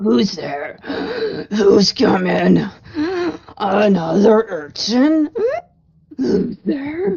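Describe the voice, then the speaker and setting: In a wheezy, put-on character voice with a fairly high pitch, the speaker goes at a very slow pace with long, frequent pauses. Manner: suspicious, calling out.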